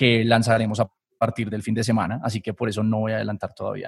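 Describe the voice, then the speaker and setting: Recorded dry and close with no echo, a man speaks very fast in a somewhat breathy voice. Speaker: systems engineer and academy founder. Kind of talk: casual interview.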